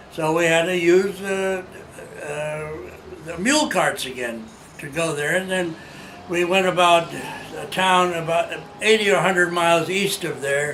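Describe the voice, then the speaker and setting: Over noticeable background noise, the speaker talks at a fairly slow pace with ordinary pitch variation. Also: man, high pitch for a man. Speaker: war veteran. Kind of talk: interview answer.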